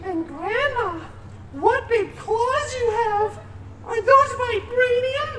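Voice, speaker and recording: A squeaky, put-on character voice with an extremely high pitch speaks at a very slow pace over noticeable background noise. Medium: stage play. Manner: sing-song, mock naive.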